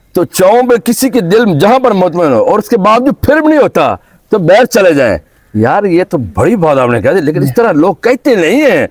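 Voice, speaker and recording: In a Punjabi accent, a man speaks at high pitch with very wide pitch swings and very even loudness, in a dry, close sound with no echo. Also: moderate pace. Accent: Punjabi-accented Urdu. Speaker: YouTube interviewer visiting a farm. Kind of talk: interview. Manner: animated.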